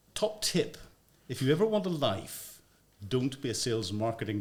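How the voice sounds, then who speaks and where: A fairly quick man with a Northern Irish accent and ordinary pitch variation. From Northern Ireland. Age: 60s. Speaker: former army intelligence officer and media commentator. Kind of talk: podcast interview. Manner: hesitant, many fillers.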